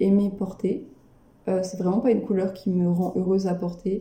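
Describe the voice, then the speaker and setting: A woman with a dark, mellow, somewhat breathy tone speaks in a flat monotone, with audible room echo. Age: 20s. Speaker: person living with dissociative identity disorder. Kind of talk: interview testimony. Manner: halting. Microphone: poor sound quality.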